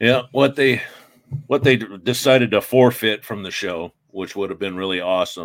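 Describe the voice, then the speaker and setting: With an American accent, a man speaks in a fairly low pitch with ordinary pitch variation and big swings in loudness, a plain, everyday voice. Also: moderate pace. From Iowa. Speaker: paranormal investigator. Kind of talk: casual chat.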